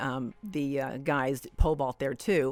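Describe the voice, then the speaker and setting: A woman's very deep, low voice over music in the background. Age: 60s. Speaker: athlete and podcast host. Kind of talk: interview answer.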